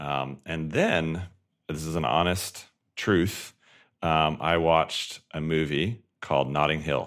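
With an American accent, a man speaks very slowly at a very deep, low pitch with vocal fry. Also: fairly even intonation. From Colorado, US. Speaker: tech company founder and CEO. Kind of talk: podcast interview.

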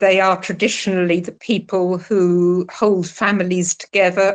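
A woman speaks with a British accent. Her intonation is monotone and flat. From UK. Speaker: retired telecom policy researcher. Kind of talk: interview.

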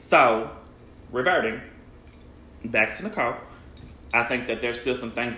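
Over noticeable background noise and audible room echo, a man at medium pitch speaks at a moderate pace with ordinary pitch variation and long, frequent pauses. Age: 30s. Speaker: podcast co-host. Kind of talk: casual chat.

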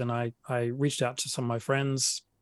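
Speech in an Australian accent comes through dry and close with no echo over a quiet background. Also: man. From South Australia, Adelaide. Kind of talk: interview. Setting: remote recording with good microphone. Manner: halting, frequent repetitions and fillers.

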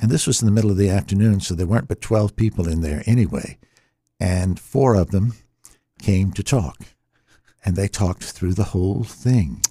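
Over a very clean recording with a silent background, a man speaks at a moderate pace in a somewhat breathy, dark, mellow tone, fairly low in pitch, with lively intonation. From US South, Virginia. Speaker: radio jazz and classical host. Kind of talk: casual interview. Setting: studio.

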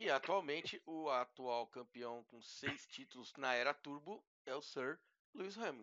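A man with a normal speaking voice and a fairly high pitch talks fairly slowly, with lively intonation and big swings in loudness. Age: 40s. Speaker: tech influencer, podcast co-host. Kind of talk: casual chat.

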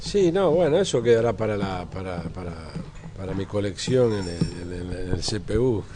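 With audible room echo and noticeable background noise, a man talks at a fairly slow pace in a fairly low pitch with ordinary pitch variation. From Argentina, Buenos Aires area. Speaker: photographer. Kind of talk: interview. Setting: café.

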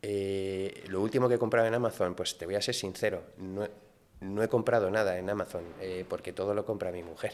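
Against a silent background on a very clean recording, a man talks at a fairly quick pace in a flat monotone. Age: 50s. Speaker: sports league executive and former Olympic gymnast. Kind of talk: casual interview. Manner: halting, frequent repetitions.

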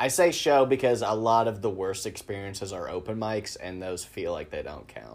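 Using a normal speaking voice, a man with an American accent and fairly low pitch talks at a moderate pace with lively intonation, big swings in loudness and hardly any pauses. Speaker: podcast host and comic. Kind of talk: casual interview chat.

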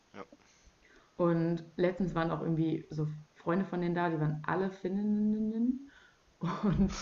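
This woman's voice sits fairly low in pitch. Her intonation stays fairly even. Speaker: podcast host. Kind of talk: casual chat. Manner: loud.

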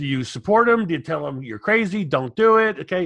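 Here a man talks at a moderate pace. His pitch swings very widely. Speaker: webinar host. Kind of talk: casual interview chat. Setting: video call.

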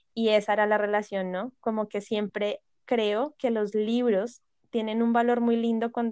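Here a woman is talking, her pitch fairly high for a woman. Her pace is moderate. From Colombia, Bogotá. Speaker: podcast guest, book lover. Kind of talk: casual chat.

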